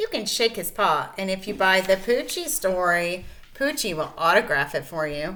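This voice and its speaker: A female-sounding voice performs a put-on character voice at a middle pitch and a moderate pace. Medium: read story. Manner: upbeat, announcing.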